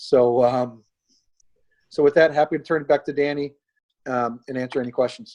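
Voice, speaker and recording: A man with an American accent speaks at a moderate pace, leaving long, frequent pauses. His voice is fairly high in pitch, with fairly even intonation. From US Midwest. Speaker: state rail official. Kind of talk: webinar presentation.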